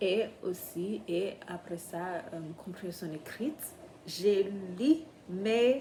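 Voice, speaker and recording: Someone with a non-native accent speaks at a very slow pace in a somewhat breathy voice. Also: woman. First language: not French (speaking French). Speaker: vlogger, French learner. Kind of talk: casual vlog. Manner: halting, many hesitations.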